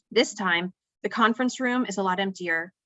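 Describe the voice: The clip is plain reading aloud against a quiet background.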